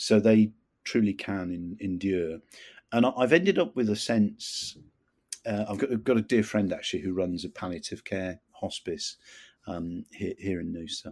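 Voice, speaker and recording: A man with a southern English accent and fairly low pitch, ordinary pitch variation, a moderate pace and big swings in loudness, in a very clean recording with a silent background. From England, near London. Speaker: retired army officer and qigong teacher. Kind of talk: interview testimony. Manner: halting, many fillers and repeats.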